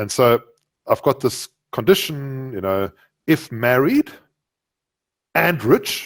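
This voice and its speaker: A man speaks very slowly with a South African accent, his medium pitch moving with ordinary variation and broken by long, frequent pauses. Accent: South African, noticeable. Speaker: Java programmer and author. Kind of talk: podcast interview. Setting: podcast recording. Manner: animated.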